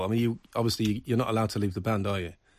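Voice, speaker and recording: Medium pitch from a man in a very clean recording with a silent background. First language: German. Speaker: radio host. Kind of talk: radio interview with German summaries. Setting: studio.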